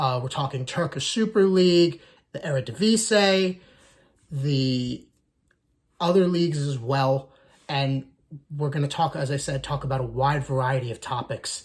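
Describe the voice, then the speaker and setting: With an American accent, a man with a fairly high pitch speaks in a somewhat breathy voice with ordinary pitch variation and long, frequent pauses. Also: moderate pace. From United States. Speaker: soccer YouTuber, Arsenal fan. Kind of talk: casual channel introduction monologue.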